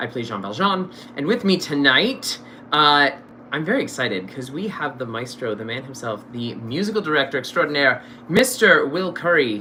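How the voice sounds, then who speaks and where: This loud man talks at a moderate pace in a fairly high voice, his tone animated and his pitch swinging very widely. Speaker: stage actor and show host. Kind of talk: casual interview chat. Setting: live stream. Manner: loud, projecting.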